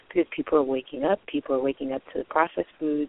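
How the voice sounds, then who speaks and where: Speech comes at a very fast pace. The intonation stays fairly even. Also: woman. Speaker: internet radio host, spiritual topics. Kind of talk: solo talk show monologue. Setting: live call-in internet radio.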